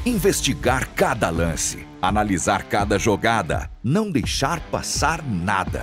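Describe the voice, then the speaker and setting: The speech moves at a very slow pace with hardly any pauses while music plays in the background. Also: man. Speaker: voice-over artist. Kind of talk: TV promo read.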